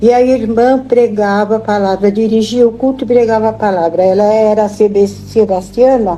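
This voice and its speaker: With music in the background, a woman with a fairly high pitch talks with very even loudness, fairly even intonation, and hardly any pauses. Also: moderate pace. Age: 80s+. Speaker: elderly church member. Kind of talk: interview. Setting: home visit.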